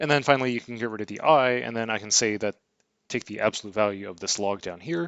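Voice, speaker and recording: In a normal speaking voice, a man speaks at a fairly quick pace with medium pitch and ordinary pitch variation. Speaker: math lecturer. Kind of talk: lecture. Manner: casual, with fillers and false starts.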